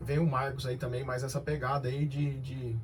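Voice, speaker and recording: A man speaks at a fairly quick pace in a somewhat breathy voice. Audible room echo surrounds the recording. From Brazil, Cianorte, Paraná. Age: 30s. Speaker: company director. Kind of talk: radio interview.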